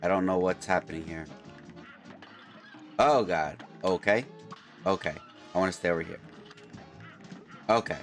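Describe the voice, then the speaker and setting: A man's very deep, low voice at a moderate pace with ordinary pitch variation and long, frequent pauses, music in the background. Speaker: gamer. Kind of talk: gameplay commentary.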